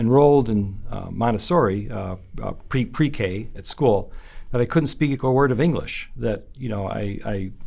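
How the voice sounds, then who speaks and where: A man with a western New York accent speaks at a fairly slow pace. His medium-pitched voice has a dark, mellow tone. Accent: American, western New York. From Buffalo, New York, US. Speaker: son of the honoree. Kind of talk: interview. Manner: halting, many fillers.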